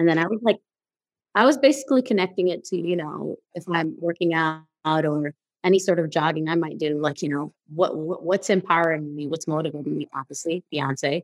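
An ordinary speaking voice from a woman, fairly low in pitch with ordinary pitch variation, at a fairly quick pace in a dry, close sound with no echo. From New York, the Bronx (Guyanese family). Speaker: podcast host. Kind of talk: interview.

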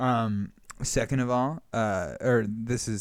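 This man speaks in a West Coast American accent with fairly even intonation. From Northern California. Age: 20s. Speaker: improv comedian. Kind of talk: casual chat.

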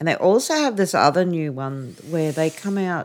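This Australian accent comes at a moderate pace. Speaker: caregiver daughter. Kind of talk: casual interview.

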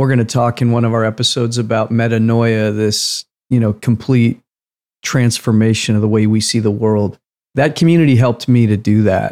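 A man's medium-pitched, a normal speaking voice. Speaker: podcast co-host. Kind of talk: casual conversational podcast.

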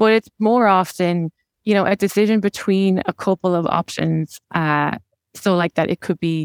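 In a very clean recording with a silent background, a woman with an Irish accent speaks at a fairly low pitch with fairly even intonation, the sound dry and close with no echo. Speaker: tech operations manager. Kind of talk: interview.

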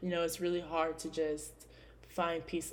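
There is audible room echo as a woman with an American accent speaks at a fairly low pitch. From California. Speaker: podcast host. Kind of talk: casual solo podcast monologue.

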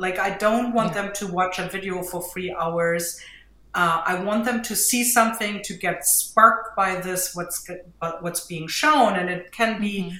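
A woman with a German accent speaks at a moderate pace. Her pitch sits in the medium range, with ordinary variation. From Germany. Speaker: mixed media artist and teacher. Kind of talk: casual interview chat.

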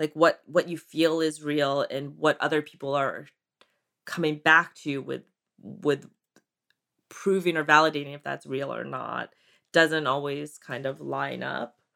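A woman with an American accent speaks at a very deep, low pitch in a bright, sharp tone with vocal fry, her intonation monotone and flat, her pace fairly slow with long, frequent pauses and big swings in loudness. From US East Coast (Maryland, Connecticut). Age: 40s. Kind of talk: interview.

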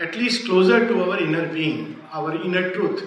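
A man talks at a fairly slow pace, with audible room echo and noticeable background noise in the recording. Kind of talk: lecture.

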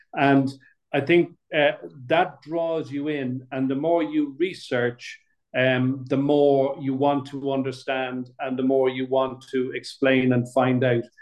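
A man's medium-pitched voice in a Dublin accent, monotone and flat, at a very slow pace. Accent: Dublin Irish. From Dublin, Ireland. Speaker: playwright. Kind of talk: casual chat. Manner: halting, many fillers.

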